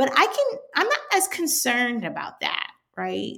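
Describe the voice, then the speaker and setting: In an American accent, a woman is speaking. Her pace is moderate. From Washington DC area. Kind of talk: casual interview chat.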